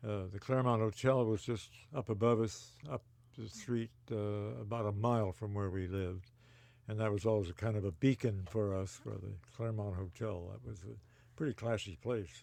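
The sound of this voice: A man with an American accent speaks at a fairly low pitch with vocal fry. His tone is slightly mellow and his intonation fairly even. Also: moderate pace.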